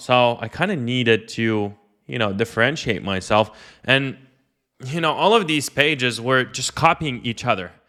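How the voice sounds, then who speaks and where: In a very clean recording with a silent background, a man with a non-native accent speaks at a moderate pace, his medium pitch bright and sharp in tone with ordinary pitch variation. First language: not English. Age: 20s. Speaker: online entrepreneur and coach. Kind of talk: personal story monologue. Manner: casual, filler-heavy.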